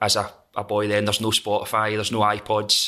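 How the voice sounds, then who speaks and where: A man with a Scottish accent, fairly low-pitched, with a bright, sharp tone, at a moderate pace, on a very clean recording with a silent background. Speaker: metal singer and songwriter. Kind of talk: casual chat.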